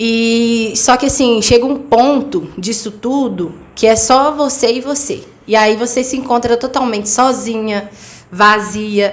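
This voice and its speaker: Speaking at a fairly high pitch and a fairly slow pace, a woman shows ordinary pitch variation, with audible room echo around her. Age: 20s. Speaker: interview guest, mother and cleaning business owner. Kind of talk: testimony. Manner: direct.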